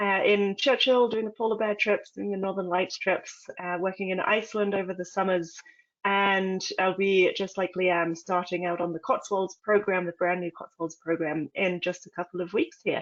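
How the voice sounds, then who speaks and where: Woman in a British accent with fairly even intonation. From England. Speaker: expedition leader, naturalist. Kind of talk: webinar presentation. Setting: online webinar, camera off.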